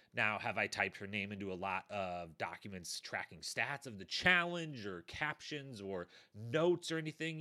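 The voice is bright and sharp, animated, with very wide pitch swings at a moderate pace. The recording is very clean with a silent background. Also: man. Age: 30s. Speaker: podcast host. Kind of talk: casual solo podcast recap.

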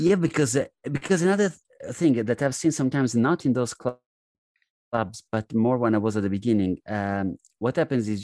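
This man has a strong Italian accent and a dark, mellow tone with lively intonation. The sound is dry and close with no echo, against a quiet background. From Italy. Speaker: comedian. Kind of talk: casual chat.

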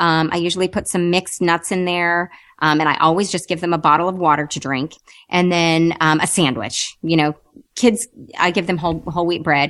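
A woman talks in an ordinary speaking voice, fairly low in pitch, at a fairly quick pace. Her intonation is fairly even, and the background is quiet. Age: 30s. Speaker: weight loss podcast host. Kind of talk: interview.

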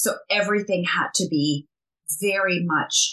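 A woman talks at a fairly slow pace in a fairly low pitch with ordinary pitch variation. Her tone is bright and sharp. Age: 50s. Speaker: skincare entrepreneur. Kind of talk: interview.

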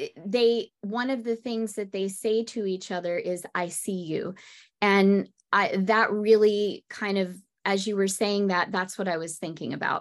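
A woman's ordinary speaking voice at medium pitch, fairly slow and with fairly even intonation, against a quiet background. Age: 50s. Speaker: podcast host and music teacher. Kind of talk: casual chat.

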